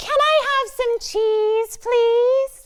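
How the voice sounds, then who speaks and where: Pitched extremely high, the voice is a put-on character act. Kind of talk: vocal exercise demo for kids.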